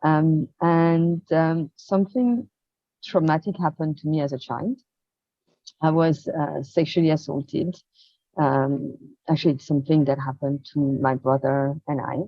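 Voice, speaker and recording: At a moderate pace, the speaker talks with a French accent and ordinary pitch variation. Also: woman, very deep, low pitch for a woman. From rural France. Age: 50s. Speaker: experience designer and coach. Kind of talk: interview testimony. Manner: hesitant, many fillers.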